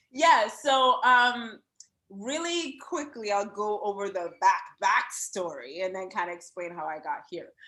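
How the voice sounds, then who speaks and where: The speaker has an American accent and a bright, sharp tone at a fairly slow pace. Loudness swings widely and pitch swings very widely. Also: woman, fairly high pitch for a woman. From Jamaica. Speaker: business coach. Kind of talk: podcast interview.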